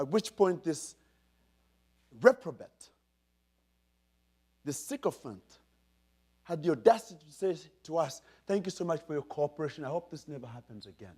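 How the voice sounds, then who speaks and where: In a Ugandan accent, the speaker moves at a moderate pace with lively intonation, long, frequent pauses and big swings in loudness, captured in a very clean recording with a silent background. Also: man, fairly high pitch for a man. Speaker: keynote speaker. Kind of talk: keynote speech. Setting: stage with audience. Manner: animated storytelling.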